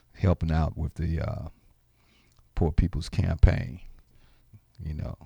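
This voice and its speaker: A man speaks at a very deep, low pitch with vocal fry, in a dark, mellow tone with ordinary pitch variation. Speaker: radio host. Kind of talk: radio talk show, with a passage of rally-style oratory and a rousing King sermon excerpt. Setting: radio studio broadcast, live and streamed. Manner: animated, conversational, repeats words for emphasis.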